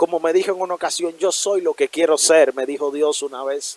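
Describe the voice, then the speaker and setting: Here a man speaks at a high pitch with fairly even intonation. The sound is dry and close, without echo. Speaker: preacher. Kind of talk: sermon.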